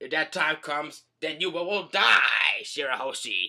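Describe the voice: Putting on a character voice, a man projects a dramatic, menacing tone at a fairly high pitch and a moderate pace.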